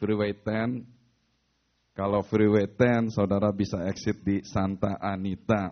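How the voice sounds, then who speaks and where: Fairly slow speech from a man with a fairly low-pitched voice. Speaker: pastor. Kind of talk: sermon.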